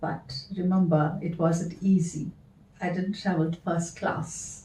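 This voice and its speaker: Dark and mellow in tone, a woman's fairly low, somewhat breathy voice moves at a very slow pace with fairly even intonation. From South Africa. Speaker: dancer and performer. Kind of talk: storytelling.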